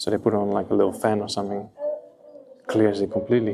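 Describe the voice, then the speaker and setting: Behind this man there's music playing. He rattles along at a very fast clip. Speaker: aquascaping vlogger. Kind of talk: vlog walkthrough tour. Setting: indoor public aquarium. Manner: whispering.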